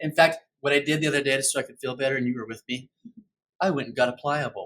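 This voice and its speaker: A man speaks at a very fast pace in a fairly high pitch with fairly even intonation. His loudness swings widely. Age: 60s. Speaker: podcast host. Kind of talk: casual chat. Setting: home sunroom.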